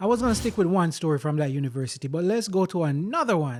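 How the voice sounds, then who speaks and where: An animated voice with a Jamaican accent makes very wide pitch swings. The recording is very clean, with a silent background. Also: man. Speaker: vlogger. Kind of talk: personal storytelling monologue.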